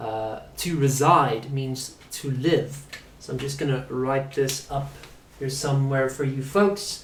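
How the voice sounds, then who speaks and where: Over noticeable background noise and audible room echo, a man talks very slowly at a fairly high pitch with fairly even intonation. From South Africa. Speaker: English teacher. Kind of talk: live online lesson.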